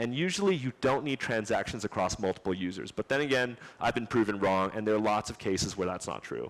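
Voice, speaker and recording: A man's fairly low voice at a very fast pace, with ordinary pitch variation. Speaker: conference speaker, software engineer. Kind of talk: technical conference talk with Q&A.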